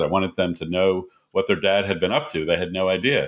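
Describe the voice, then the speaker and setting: A man with an American accent speaks at a fairly quick pace in a plain, everyday voice, his pitch fairly low, on a very clean recording with a silent background. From United States. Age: 60s. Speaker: doctor and author. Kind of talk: interview.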